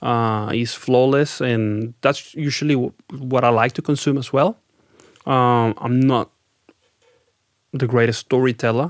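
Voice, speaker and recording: The sound is dry and close, with no echo. A man with a Spanish accent talks at a medium pitch with fairly even intonation. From Venezuela. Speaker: rock band lead singer. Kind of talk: podcast interview. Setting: studio.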